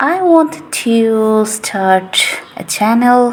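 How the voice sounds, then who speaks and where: Amid noticeable background noise, a woman with a non-native accent speaks with lively intonation. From Asia. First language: not English. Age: 20s. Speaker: English teacher. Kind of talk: casual monologue. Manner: chatty, rambling.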